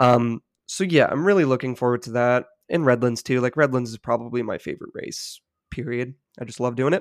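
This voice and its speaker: A man with an unremarkable speaking voice has ordinary pitch variation and big swings in loudness. The sound is dry and close, with no echo. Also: medium pitch for a man. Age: 30s. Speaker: professional cyclist. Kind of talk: casual interview.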